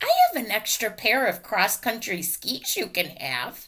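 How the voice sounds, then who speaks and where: A female-sounding put-on character voice, fairly high for a woman, moves at a moderate pace with very wide pitch swings. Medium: read story. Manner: friendly, easygoing.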